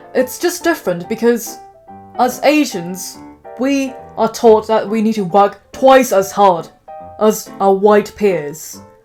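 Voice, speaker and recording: A woman's fairly high voice with a British accent, lively intonation and a fairly slow pace, over music in the background. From England. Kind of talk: casual talk to camera.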